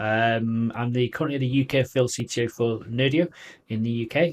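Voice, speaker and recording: With a Manchester accent, this voice moves at a moderate pace with fairly even intonation over a quiet background. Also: man. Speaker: tech company field CTO presenter. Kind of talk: technical presentation.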